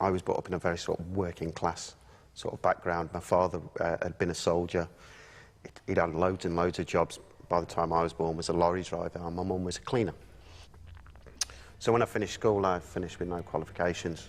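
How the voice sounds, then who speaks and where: A man with an English Midlands accent has a very deep, low pitch and flat, monotone intonation. He talks at a very fast pace but with long, frequent pauses. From English Midlands (Burton-on-Trent). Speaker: former soldier. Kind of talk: personal testimony. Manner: halting.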